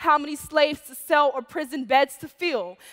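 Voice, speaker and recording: Over a quiet background, a woman with a high pitch and a bright, sharp tone speaks at a moderate pace with ordinary pitch variation. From Chicago. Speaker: poet. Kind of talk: spoken word performance. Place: stage. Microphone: headset.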